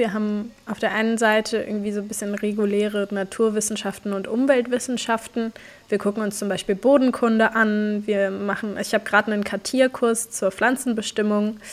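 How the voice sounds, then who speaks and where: Hardly pausing, a woman speaks at a fairly quick pace with a fairly high pitch. Her intonation is monotone and flat. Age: 20s. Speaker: climate activist and student. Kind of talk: casual interview.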